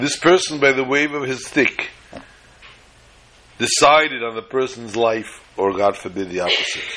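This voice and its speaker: Medium-pitched male speech at a moderate pace with lively intonation over noticeable background noise. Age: 50s. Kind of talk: storytelling talk.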